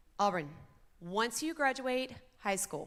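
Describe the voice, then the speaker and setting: Loud and bright with a sharp tone, a woman's voice swings very widely in pitch. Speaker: school program coordinator. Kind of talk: graduation ceremony emcee. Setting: stage with audience.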